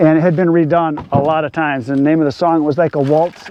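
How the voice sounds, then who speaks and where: Over noticeable background noise, the speech moves at a fairly quick pace in a monotone, flat intonation. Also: man. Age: 60s. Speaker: firewood seller and video channel owner. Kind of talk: casual Q&A monologue while working. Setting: outdoors in a wood yard.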